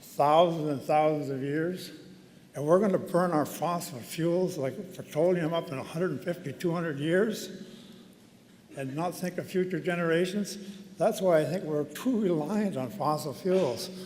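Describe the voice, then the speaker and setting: This man's voice is high in pitch, with ordinary pitch variation and a moderate pace. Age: 70s. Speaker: honorary degree recipient giving convocation address. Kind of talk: convocation speech. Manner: conversational, with hesitations.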